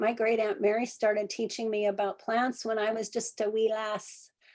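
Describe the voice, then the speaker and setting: At a moderate pace and a fairly high pitch, a woman talks in an unremarkable speaking voice. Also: very clean recording, silent background. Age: 60s. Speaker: herbalist. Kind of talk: lecture.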